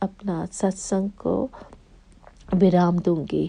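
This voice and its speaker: Speaking with a non-native accent, a woman has a dark, mellow tone at a medium pitch with ordinary pitch variation. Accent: non-native accent in Hindi. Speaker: devotee sharing testimony. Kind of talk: testimony. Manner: slow, careful; halting.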